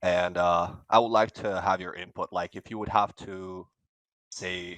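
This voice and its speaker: A man speaks fairly slowly in a very deep, low, monotone voice, with big swings in loudness. The sound is dry and close with no echo, against a quiet background. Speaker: caller. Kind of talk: question to host. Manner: halting.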